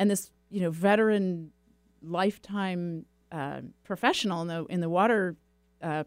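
A plain, everyday voice from a woman with an American accent, fairly low in pitch, with ordinary pitch variation, on a very clean recording against a silent background. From California, Silicon Valley. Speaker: nonprofit executive director. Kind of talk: interview.

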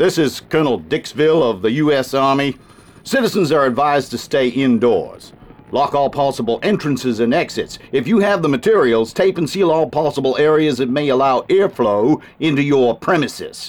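A man does a gruff put-on character voice at a fairly high pitch, with lively intonation, very even loudness and a moderate pace. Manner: commanding, curt, gruff.

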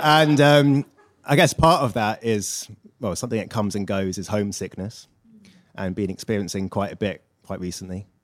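In an English accent, a man with a fairly low pitch talks at a moderate pace, his intonation lively. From England. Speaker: audience member asking a question. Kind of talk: audience question. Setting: stage with live audience.

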